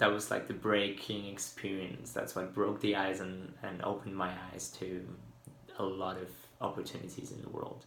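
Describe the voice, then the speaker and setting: Amid audible room echo, a man with a fairly low pitch and fairly even intonation speaks with big swings in loudness. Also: moderate pace. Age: 20s. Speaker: university student. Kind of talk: video application statement. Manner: hesitant, with fillers.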